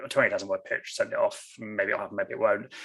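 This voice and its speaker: A man with an English accent against a quiet background. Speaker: novelist. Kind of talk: author interview. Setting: video call. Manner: fast.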